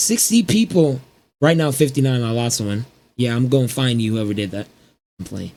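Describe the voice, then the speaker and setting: With a dark, mellow tone and ordinary pitch variation, a man speaks with long, frequent pauses. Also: medium pitch for a man, moderate pace. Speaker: small YouTuber. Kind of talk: personal vlog rant. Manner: halting.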